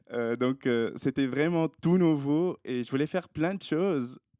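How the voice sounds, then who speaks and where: On a very clean recording with a silent background, a man speaks at a fairly slow pace in a dark, mellow tone with ordinary pitch variation. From Tunisia. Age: 20s. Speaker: doctoral student. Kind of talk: casual interview. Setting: podcast studio, filmed.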